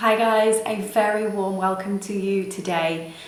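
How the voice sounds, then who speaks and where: Over noticeable background noise and audible room echo, a woman speaks in a British accent with monotone, flat intonation. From United Kingdom. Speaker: makeup artist and beauty vlogger. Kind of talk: makeup tutorial. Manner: hesitant with fillers.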